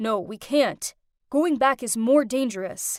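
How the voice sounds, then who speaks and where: In a put-on character voice, a woman growls in a gruff, high-pitched tone at a fairly slow pace, recorded very cleanly with a silent background and a dry, close sound with no echo. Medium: read story. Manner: gruff, curt.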